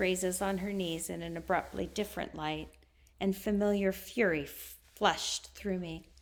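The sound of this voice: The speaker reads. It is an unforced reading voice.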